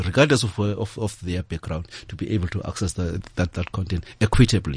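A man's somewhat breathy voice moves fairly quickly, with pitch that varies in an ordinary way. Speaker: head of a corporate foundation. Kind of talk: panel discussion on radio. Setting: radio studio. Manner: halting, repeats words.

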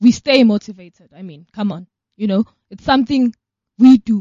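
A somewhat breathy woman speaks at a moderate pace with a fairly high pitch and ordinary pitch variation. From South Africa. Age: young. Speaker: organization co-founder and DJ. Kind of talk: radio interview.

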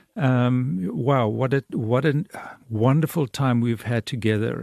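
Against a quiet background, a man with an ordinary speaking voice talks at medium pitch and a fairly slow pace, with ordinary pitch variation and a dry, close sound with no echo. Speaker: radio host. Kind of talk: radio interview.

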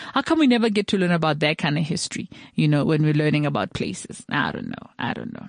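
A woman's very deep, low voice with vocal fry, very wide pitch swings and a very fast pace over a quiet background. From South Africa, Tswana. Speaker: radio podcast host. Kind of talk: casual talk show monologue.

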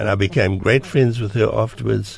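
A man speaks at a moderate pace with a fairly low pitch. His voice carries vocal fry and ordinary pitch variation. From South Africa. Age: 80s. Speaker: theatre impresario and ticketing entrepreneur. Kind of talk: radio interview. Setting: studio.

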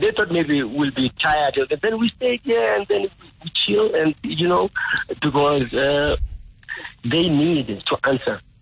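Long, frequent pauses from a man with lively intonation and a fairly high pitch, over noticeable background noise. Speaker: veteran musician and protester. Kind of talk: phone interview. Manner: halting.

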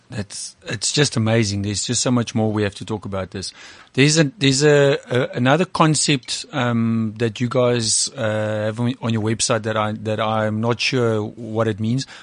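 With noticeable background noise behind him, a man talks at a moderate pace and medium pitch, using fairly even intonation and hardly any pauses. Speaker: podcast host and tech CEO. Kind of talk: interview. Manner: halting.

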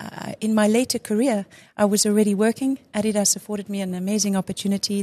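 Against a quiet background with a dry, close sound with no echo, a woman talks at a fairly quick pace, somewhat breathy. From South Africa, Durban. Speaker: former national hockey player and sports brand executive. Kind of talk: casual interview.

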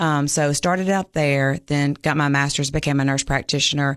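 The voice belongs to a woman with a Southern US accent. Her pitch is very deep and low, and the background is quiet. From Mississippi. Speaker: local politician and nurse practitioner. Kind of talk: interview.

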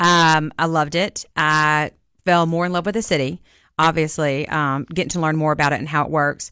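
A woman's very deep, low voice with a bright, sharp tone, a Southern US accent, fairly even intonation and a moderate pace against a quiet background. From Jackson, Mississippi. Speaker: vice mayor, nurse practitioner. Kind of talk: radio interview.

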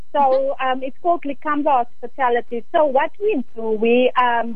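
A high-pitched woman talks at a moderate pace with ordinary pitch variation, amid noticeable background noise and audible room echo. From Northern Cape, South Africa (Steinkopf near Springbok). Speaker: hospitality business owner. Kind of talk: radio interview. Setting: phone call.

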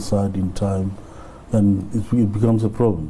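A man's fairly low, monotone, flat voice amid audible room echo and noticeable background noise. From South Africa, Limpopo rural village. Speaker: business owner. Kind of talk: interview. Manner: halting.

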